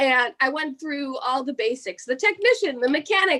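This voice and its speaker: With an American accent, a woman talks at a fairly quick pace in a high pitch, her tone bright and sharp and her intonation lively. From New Jersey. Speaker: pro wrestler. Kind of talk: interview. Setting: home office, remote interview. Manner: casual, filler-heavy.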